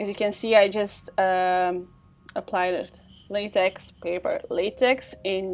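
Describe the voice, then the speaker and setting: A woman speaking very slowly, with music in the background. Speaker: makeup artist. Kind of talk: makeup tutorial voiceover.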